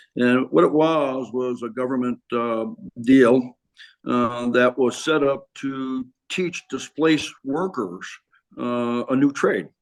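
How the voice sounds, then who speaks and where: At a medium pitch, a man speaks very slowly, his pitch varying in an ordinary way. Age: 70s. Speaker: retired teacher and businessman, former high school football player. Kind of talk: interview. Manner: halting, many fillers.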